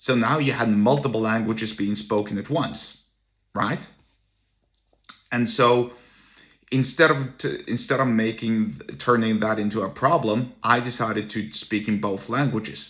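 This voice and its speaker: The speaker has a Norwegian accent and a fairly slow pace. Pitch varies in an ordinary way. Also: man, medium pitch for a man. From Norway. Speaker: entrepreneur and solo podcaster. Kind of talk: casual monologue. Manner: halting, with many restarts.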